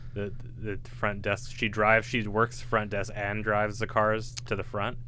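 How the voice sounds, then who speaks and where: Speaking at a moderate pace with a bright, sharp tone and vocal fry, a man holds a fairly low pitch in a monotone, flat intonation. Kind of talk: casual chat. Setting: podcast studio.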